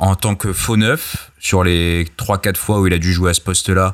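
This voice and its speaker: Very deep and low, a man's voice comes through in a very clean recording with a silent background. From Australia. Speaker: football writer and podcast co-host. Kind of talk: casual chat.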